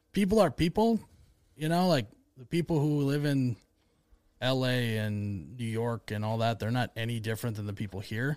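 Here a man with an Upper Midwest accent speaks at medium pitch and a fairly quick pace. The recording is very clean, with a silent background. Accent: Upper Midwest American. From US Midwest. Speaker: comedy video creator, media company owner. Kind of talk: casual chat.

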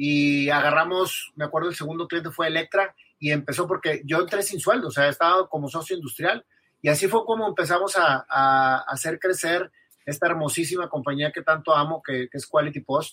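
Bright and sharp in tone, a man speaks at a fairly quick pace with a dry, close sound and no echo. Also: fairly high pitch for a man, ordinary pitch variation. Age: 40s. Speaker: businessman and musician. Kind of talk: interview. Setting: live podcast recording.

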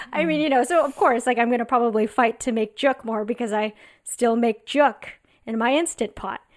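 On a very clean recording with a silent background, a woman with an American accent talks at a fairly quick pace, her fairly high voice showing ordinary pitch variation. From Southern California (La Cañada). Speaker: stand-up comedian and TV writer. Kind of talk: casual chat.

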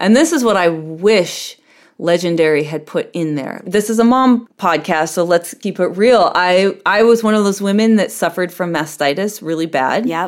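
A woman at a medium pitch with a plain, everyday voice, moderate pace, and a very clean recording with a silent background. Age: 40s. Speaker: ballroom performer and dancer. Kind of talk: interview.

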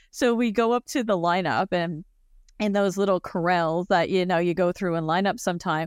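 A woman with a Canadian accent has an ordinary speaking voice, with ordinary pitch variation and a moderate pace. The sound is dry and close, with no echo. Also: very clean recording, silent background. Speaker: colleague who is visually impaired and travels. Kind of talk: casual chat.

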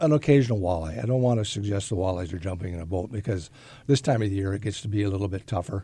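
With an American accent, a man speaks at a fairly low pitch in a dark, mellow, somewhat breathy tone with lively intonation, in a very clean recording with a silent background. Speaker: fishing guide. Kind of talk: casual fishing report. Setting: studio.

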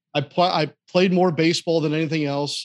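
A plain, everyday voice from a man with an American accent, at a moderate pace with fairly even intonation. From US Midwest, St. Louis, Missouri. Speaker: sports play-by-play broadcaster. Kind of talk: interview, casual chat. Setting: studio, live at a restaurant venue.

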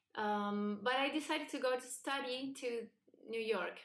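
In a Spanish accent, a woman talks at a moderate pace. Her pitch variation is ordinary. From Argentina, Buenos Aires. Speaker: singer-songwriter. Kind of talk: interview.

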